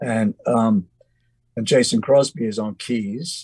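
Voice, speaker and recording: The man speaks with an English accent, the sound dry and close with no echo. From England. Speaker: musician. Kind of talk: interview storytelling. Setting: video call from home studio. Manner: halting.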